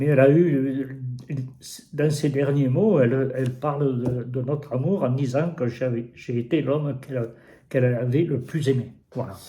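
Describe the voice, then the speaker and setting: A man with a medium-pitched, dark and mellow voice that is somewhat breathy speaks at a moderate pace with fairly even intonation, with audible room echo. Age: 80s+. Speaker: interviewee, host's father. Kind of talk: personal testimony. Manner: halting, repeating words.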